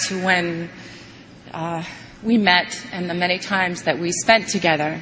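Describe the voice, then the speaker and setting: Noticeable background noise sits behind the speaker. A woman talks very slowly at a medium pitch. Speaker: actress. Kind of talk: eulogy. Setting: memorial service in arena.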